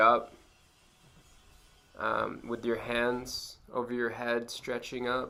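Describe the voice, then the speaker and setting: Speaking at a very slow pace, a man uses a medium pitch and a bright, sharp tone. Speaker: mindfulness instructor. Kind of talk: tutorial. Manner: casual, many fillers.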